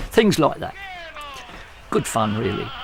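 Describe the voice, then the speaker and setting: A man with an English accent talks at a fairly quick pace. Noticeable background noise runs behind him. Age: 80s+. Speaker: retired bus driver. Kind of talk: interview anecdote.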